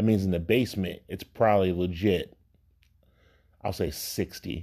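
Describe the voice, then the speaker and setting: A man speaks in a very deep, low pitch, his tone dark, mellow and relaxed. The recording is very clean, with a silent background. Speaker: podcast host. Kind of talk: casual podcast monologue. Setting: home basement. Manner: relaxed, with many filler words.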